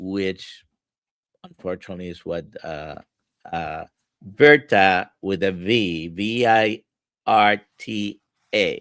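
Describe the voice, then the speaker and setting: Speaking with a Spanish accent at a very slow pace, a man uses a fairly low pitch with ordinary variation, big swings in loudness, and long, frequent pauses, all in a very clean recording with a silent background. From Puerto Rico. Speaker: livestream host and health coach. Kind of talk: casual chat. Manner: halting, many fillers.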